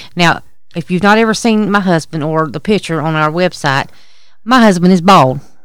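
A woman with a Southern US accent speaks at a fairly low pitch. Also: ordinary pitch variation, moderate pace. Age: 40s. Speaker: podcast co-host. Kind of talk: casual chat. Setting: outdoors at a campsite.

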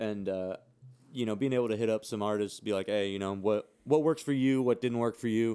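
This man has an American accent and a fairly low pitch. His tone is dark and mellow, and he talks at a fairly quick pace. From California, San Jose. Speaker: podcast co-host, music producer. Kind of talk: casual chat.

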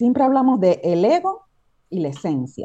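This woman's tone is dark and mellow. She talks very slowly. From Cuba. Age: 40s. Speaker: transpersonal coach. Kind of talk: casual chat.

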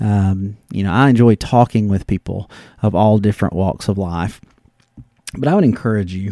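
A man with a Southern US accent, fairly low in pitch, dark and mellow in tone, at a moderate pace. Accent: Southern American. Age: 40s. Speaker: sports podcast host. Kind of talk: casual solo podcast monologue. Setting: home study. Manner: hesitant, many fillers.

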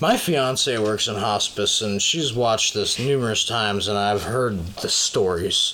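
At a very slow pace, a man with an American accent uses lively intonation over noticeable background noise. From Minnesota. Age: 20s. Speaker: podcast co-host. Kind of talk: casual chat.

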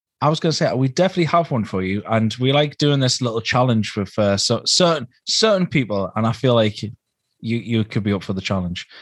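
Lively intonation from a man with a Geordie accent, medium pitch and a fairly quick pace, over a quiet background. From northern England, Newcastle. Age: 30s. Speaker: podcast co-host. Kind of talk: casual chat.

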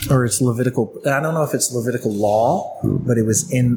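Against noticeable background noise, a man with a medium pitch talks at a moderate pace with ordinary pitch variation. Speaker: podcast co-host. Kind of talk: casual banter over beers.

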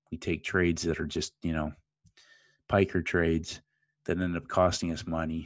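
A man with a Canadian accent and a very deep, low voice speaks at a moderate pace in a flat monotone, leaving long, frequent pauses. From Canada, Great Lakes area. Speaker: forex trader and trading educator. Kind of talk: interview.

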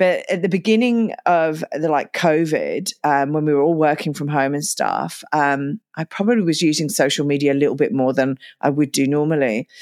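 Her very deep, low voice comes at a moderate pace with hardly any pauses and ordinary pitch variation, the sound dry and close with no echo. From UK. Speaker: podcast host, single mother. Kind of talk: interview conversation.

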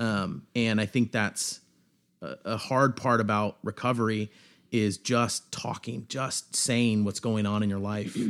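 In a normal speaking voice, a man with an American accent speaks at a fairly low pitch and a fairly slow pace, his intonation fairly even, on a very clean recording with a silent background. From Seattle area, US Pacific Northwest. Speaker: coffee shop owner, recovering addict. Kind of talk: testimony. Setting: studio.

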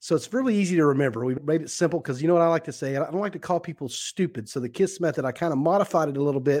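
Recorded very cleanly against a silent background, a man speaks at a fairly high pitch with ordinary pitch variation. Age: 40s. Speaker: business coach and speaker. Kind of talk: casual chat.

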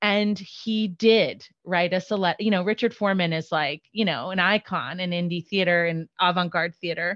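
A woman with an ordinary speaking voice at medium pitch, fairly even intonation, a moderate pace and hardly any pauses, in a dry, close sound with no echo against a quiet background. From New York, partly raised in Florida. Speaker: executive director of a theater service organization. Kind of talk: interview.

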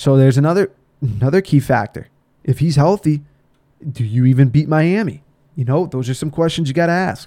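With an American accent, a man in a dark, mellow tone speaks at a fairly quick pace with ordinary pitch variation and long, frequent pauses. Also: fairly high pitch for a man. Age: young. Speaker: sports podcaster. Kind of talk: solo sports commentary podcast. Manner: casual, animated.

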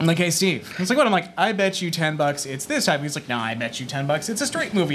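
A man at a very fast pace, with very wide pitch swings and noticeable background noise. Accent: American. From northeastern Massachusetts. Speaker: former video store assistant manager. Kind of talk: live podcast panel chat. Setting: stage with audience.

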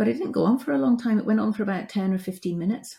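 A woman with a British accent talks at a fairly quick pace in a dark, mellow, somewhat breathy tone. The recording is very clean, with a silent background. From UK. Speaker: end-of-life care specialist and coach. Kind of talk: casual interview.

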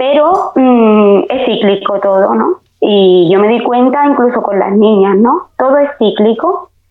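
A woman at a fairly slow pace with hardly any pauses and very wide pitch swings. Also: fairly high pitch for a woman, very even loudness. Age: 40s. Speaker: beauty technician. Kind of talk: casual chat.

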